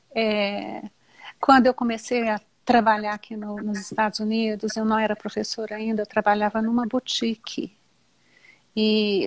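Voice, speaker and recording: A woman's fairly high-pitched voice comes through a very clean recording with a silent background and a dry, close sound with no echo. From Brazil. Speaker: teacher. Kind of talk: casual chat.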